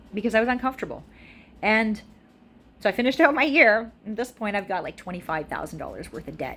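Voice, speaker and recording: Her pitch is fairly high and swings very widely. This woman is heard over noticeable background noise. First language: French. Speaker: video blogger sharing life story. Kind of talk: personal testimony. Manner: casual, halting with fillers.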